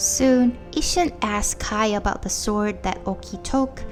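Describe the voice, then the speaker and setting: Music plays in the background as a woman talks. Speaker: video game story narrator. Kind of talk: game story recap narration.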